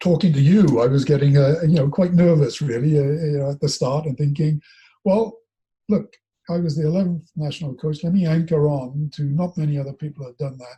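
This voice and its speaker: A man talks at a fairly quick pace in a fairly high pitch with ordinary pitch variation. His tone is dark and mellow, somewhat breathy. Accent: Welsh. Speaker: former national rugby coach and coach developer. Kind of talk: casual interview chat. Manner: halting.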